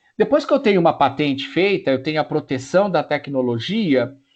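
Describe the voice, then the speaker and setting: A man speaks with lively intonation. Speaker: professor. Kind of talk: lecture.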